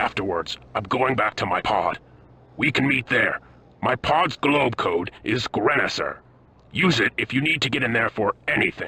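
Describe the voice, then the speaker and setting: Using a put-on character voice, a man speaks in a raspy tone at very even loudness. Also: medium pitch for a man, moderate pace. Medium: video game.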